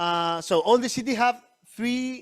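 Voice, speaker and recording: A man talks at a moderate pace in a Spanish accent. Music plays in the background. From Chile. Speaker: missionary church planter. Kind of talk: church presentation. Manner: halting, with many restarts.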